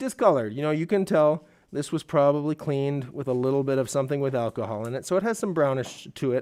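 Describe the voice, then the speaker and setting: On a very clean recording with a silent background, a man talks at a very fast pace. His pitch is fairly high. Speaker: saxophone shop salesperson. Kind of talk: live stream sales pitch. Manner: loud; casual, rambling.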